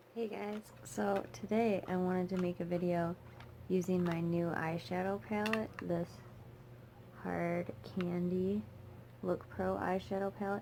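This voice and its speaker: A woman talks at a fairly slow pace and fairly low pitch, with lively intonation. Her pauses are long and frequent. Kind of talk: casual talk to camera while doing makeup. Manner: mumbling, chill, rambling.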